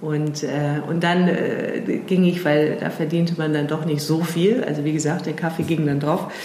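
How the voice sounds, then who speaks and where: Amid noticeable background noise and audible room echo, a woman speaks at a moderate pace with a very deep, low pitch and monotone, flat intonation. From England. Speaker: strategy consultant and founder. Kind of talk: interview conversation. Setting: in person at her office. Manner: hesitant, many fillers.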